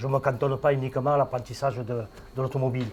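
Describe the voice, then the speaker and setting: A somewhat breathy man talks at a moderate pace. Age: 60s. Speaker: garage owner and business founder. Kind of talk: interview. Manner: hesitant, many fillers.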